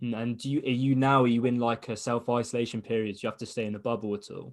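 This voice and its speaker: Speaking very fast with an English accent, a man keeps a medium pitch and a monotone, flat intonation. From England. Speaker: interviewer, fight podcast host. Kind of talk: interview.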